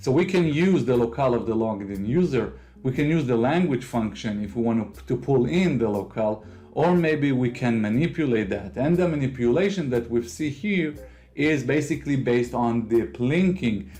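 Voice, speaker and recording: With an Israeli accent, a man talks at a moderate pace in a medium pitch, his dark, mellow tone carried by lively intonation. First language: Hebrew. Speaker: tech video creator. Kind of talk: software tutorial.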